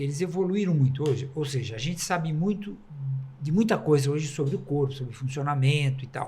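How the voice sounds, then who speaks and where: At a fairly quick pace, a man with a fairly high pitch and a dark, mellow, somewhat breathy tone speaks amid audible room echo. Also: ordinary pitch variation. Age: 70s. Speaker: journalist. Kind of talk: podcast discussion.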